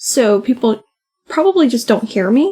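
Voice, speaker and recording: Soft-spoken, a woman talks at a moderate pace. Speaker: podcast co-host. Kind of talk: casual chat. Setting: home recording, late at night.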